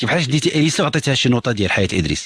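Recorded dry with no echo, a man with vocal fry talks at a very fast pace. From Morocco. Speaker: psychologist answering callers; caller. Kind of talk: radio call-in advice. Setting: radio studio. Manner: animated. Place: studio.

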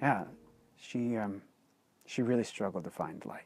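With clear music in the background, a man talks at a moderate pace in a dry sound with no echo. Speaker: author and blogger. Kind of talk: personal storytelling to camera. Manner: casual, hesitant with fillers. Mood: earnest, reflective storytelling. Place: open country. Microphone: lapel.

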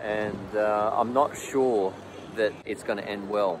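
Noticeable background noise surrounds a man with a fairly low pitch and fairly even intonation. He speaks at a fairly slow pace, and the sound is dry with no echo. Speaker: expat commentator. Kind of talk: casual vlog chat. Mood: concerned but calm. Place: street. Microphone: phone near.

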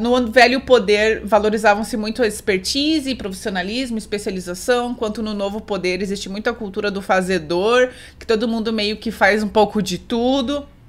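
Here a woman speaks at a moderate pace with fairly even intonation. She leaves hardly any pauses. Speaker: book reviewer. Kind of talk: casual vlog chat summarizing a book. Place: home room.

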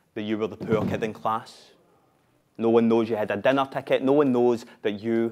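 In a Scottish accent, a man talks at a moderate pace. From Glasgow, Scotland. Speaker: spoken word performer. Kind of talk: live theatre monologue, spoken word. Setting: live stage with audience. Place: stage.

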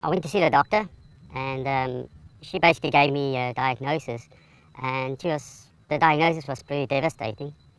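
A man uses a squeaky, put-on character voice at medium pitch. He talks at a fairly quick pace with ordinary pitch variation. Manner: hesitant.

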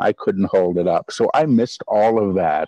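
Against a quiet background with a dry sound and no echo, a man speaks in a fairly low pitch and a dark, mellow tone with ordinary pitch variation. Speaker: channeler. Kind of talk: interview answer. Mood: relaxed, reflective. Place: garden. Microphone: video call.

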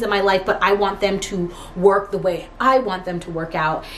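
The woman's speech unfolds at a fairly slow pace. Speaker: lifestyle vlogger. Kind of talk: casual vlog chat. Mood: reflective, sincere. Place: home room. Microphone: camera far.

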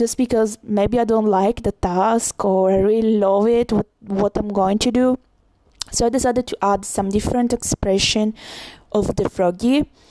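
A woman with a strong Italian accent, fairly high in pitch yet dark and mellow in tone, at a moderate pace with fairly even intonation and very even loudness, in a dry, close sound with no echo. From Italy. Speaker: illustrator. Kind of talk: tutorial voiceover.

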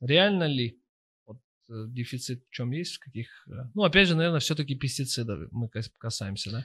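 Over a quiet background, a man with a bright, sharp tone talks at a moderate pace, leaving long, frequent pauses. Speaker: podcast host. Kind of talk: casual interview. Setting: studio. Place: studio. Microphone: studio mic.

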